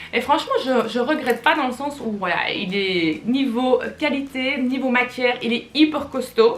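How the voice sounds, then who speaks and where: A woman with a high pitch and a Flemish accent, fairly slow pace, hardly any pauses, and noticeable background noise. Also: ordinary pitch variation. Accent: Belgian Flemish. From Belgium, Flemish. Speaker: fashion YouTuber. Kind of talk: casual haul video talk. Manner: chatty, hesitant with many fillers.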